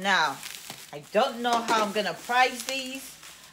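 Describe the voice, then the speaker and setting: Noticeable background noise accompanies a woman speaking with ordinary pitch variation. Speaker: reseller. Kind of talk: casual unboxing vlog chat. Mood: amused, lighthearted. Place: home room. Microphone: phone near.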